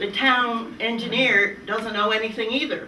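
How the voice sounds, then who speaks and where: A woman at a moderate pace and medium pitch, with audible room echo and noticeable background noise. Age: 80s+. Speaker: hydrogeologist expert panelist. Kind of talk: panel discussion. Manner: animated.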